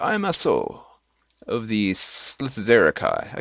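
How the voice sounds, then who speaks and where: Hissing his words at a fairly slow pace, a man puts on a character voice. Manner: dignified.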